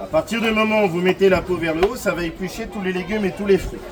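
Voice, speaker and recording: Over crowd noise and audible room echo, a man speaks at a fairly quick pace in a high pitch. His tone is animated, with ordinary pitch variation. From Brittany, France. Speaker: market demonstrator. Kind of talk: sales pitch.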